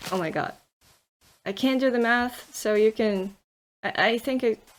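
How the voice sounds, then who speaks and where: With a non-native accent, a woman speaks at a fairly slow pace. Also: very clean recording, silent background. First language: not English. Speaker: gaming YouTuber. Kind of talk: let's play commentary. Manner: hesitant, many fillers.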